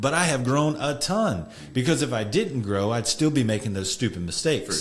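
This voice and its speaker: With vocal fry and very wide pitch swings, a man at a medium pitch talks at a fairly quick pace. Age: 40s. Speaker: podcast host, men's counselor. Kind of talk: casual chat.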